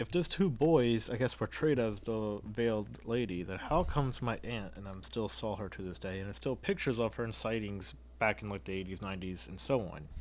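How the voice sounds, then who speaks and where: A normal speaking voice with an American accent moves at a fairly quick pace with hardly any pauses. Intonation is lively, and loudness swings widely. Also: man, fairly low pitch for a man. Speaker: paranormal podcast co-host. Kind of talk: casual chat.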